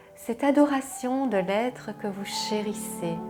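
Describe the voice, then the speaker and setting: Music plays behind a woman. She speaks at a very slow pace with lively intonation. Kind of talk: intro and commentary to camera. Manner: soft-spoken, tender.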